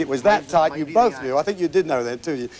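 A man speaks very fast with lively intonation. Light background noise can be heard. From United Kingdom. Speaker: TV game show host. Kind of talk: TV game show hosting, upbeat. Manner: upbeat, jovial. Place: stage. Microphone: lapel.

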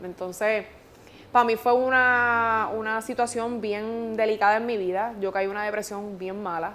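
A woman speaks at a moderate pace with fairly high pitch and flat, monotone intonation. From Puerto Rico. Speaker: radio host. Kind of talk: interview answer. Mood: emotional, recounting a painful loss. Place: studio.

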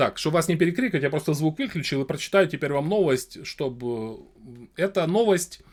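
A man's fairly high voice at a moderate pace, lively in intonation, with long, frequent pauses. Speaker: streamer talking to random people in video chat. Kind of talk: casual debate with strangers; reading news aloud.

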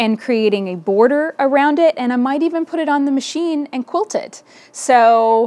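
Her voice sits high for a woman, with intonation that moves lively. She keeps a moderate pace. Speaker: podcast host, quilting teacher. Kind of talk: casual vlog chat. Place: home room.

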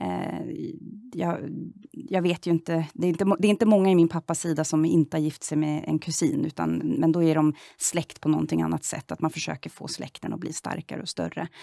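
A woman talks at a fairly quick pace over a quiet background, the sound dry with no echo. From Sweden, southern Stockholm. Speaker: member of parliament; politician interviewee. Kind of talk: political interview. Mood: calm, earnest. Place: studio.

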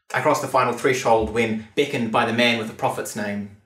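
A moderate pace, a quiet background and audible room echo. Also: man. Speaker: performance poet. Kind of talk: spoken word poetry performance. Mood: wry, measured, theatrical. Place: studio.

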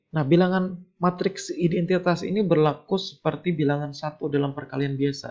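Keeping a fairly even intonation, a man with a high pitch talks at a moderate pace with hardly any pauses. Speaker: university lecturer. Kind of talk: lecture.

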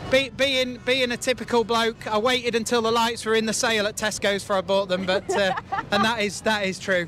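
A man's raised, projected voice at a fairly quick pace, dry with no echo, with crowd noise in the background. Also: fairly even intonation. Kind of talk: interview answer. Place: farm machine. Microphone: handheld.

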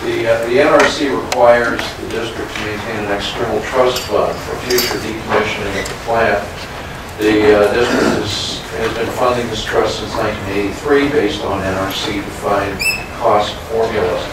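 A man talks at a moderate pace amid loud background noise and audible room echo. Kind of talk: formal meeting report. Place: meeting room. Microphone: camera far.

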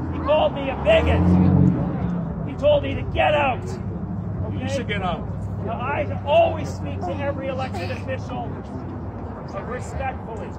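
Moderate pace with loud background noise. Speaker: protest speaker. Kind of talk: rally speech. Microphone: phone near.

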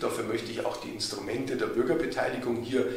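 A man's voice with ordinary pitch variation, audible room echo and clear background noise

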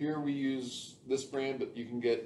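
Light background noise sits behind a man's speech. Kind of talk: tutorial. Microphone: camera far.

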